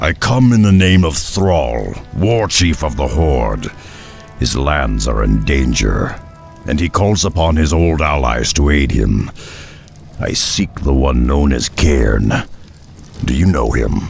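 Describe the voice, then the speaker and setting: A man uses a put-on character voice at a fairly slow pace, with clear music in the background. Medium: short film. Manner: blunt, gruff.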